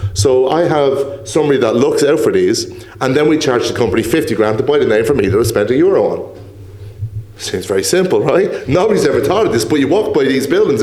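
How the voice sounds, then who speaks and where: Speaking at a very fast pace, a man keeps his loudness very even. Noticeable background noise and audible room echo are present. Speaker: property entrepreneur. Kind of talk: podcast interview.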